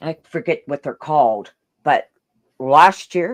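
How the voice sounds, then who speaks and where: Loud and animated, a woman speaks at a fairly slow pace with a very deep, low pitch, her sound dry and close with no echo. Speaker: online video host. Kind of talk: casual chat.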